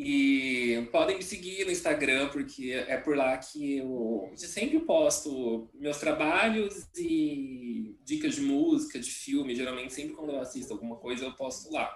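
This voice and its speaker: There is noticeable background noise. A man speaks at a fairly slow pace with hardly any pauses. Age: 30s. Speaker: journalist and academic. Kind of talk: casual chat.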